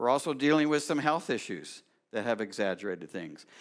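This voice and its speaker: The voice carries vocal fry and lively intonation. The recording is very clean, with a silent background. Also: man. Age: 60s. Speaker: pastor. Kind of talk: sermon. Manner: halting.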